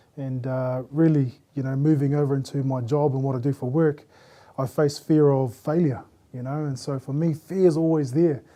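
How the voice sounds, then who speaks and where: Fairly high for a man yet dark and mellow in tone, his voice moves at a moderate pace with fairly even intonation. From New Zealand, Christchurch. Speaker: panel guest. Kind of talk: casual group discussion. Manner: stutters when nervous.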